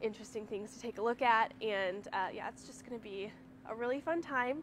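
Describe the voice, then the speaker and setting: A woman talks at a fairly quick pace with ordinary pitch variation, the sound dry with no echo and light background noise behind her. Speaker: presenter. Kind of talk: casual store tour announcements. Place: shop. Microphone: camera far.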